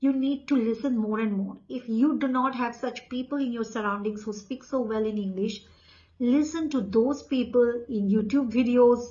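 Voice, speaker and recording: A woman speaks in a high pitch at a moderate pace. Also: fairly even intonation. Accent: Indian. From India. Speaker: English coach. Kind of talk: tutorial.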